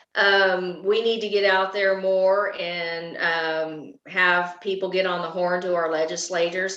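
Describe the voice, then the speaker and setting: Audible room echo surrounds the voice. Words come at a fairly slow pace. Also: woman. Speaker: political candidate. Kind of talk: interview. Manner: animated.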